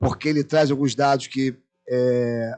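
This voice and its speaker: With fairly even intonation, a man speaks in a plain, everyday voice at a medium pitch. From Brazil, Rio de Janeiro (Irajá). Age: 60s. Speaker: anthropologist, panel speaker. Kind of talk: lecture.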